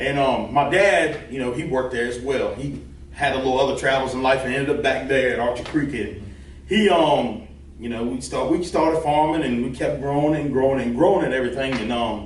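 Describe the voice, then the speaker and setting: This man speaks with a Virginia accent at a fairly quick pace, his pitch medium with ordinary variation. Audible room echo and noticeable background noise surround him. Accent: Southern US (Virginia). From Virginia (Forest area). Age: 20s. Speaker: farmer and lawn care business owner. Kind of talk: casual interview chat.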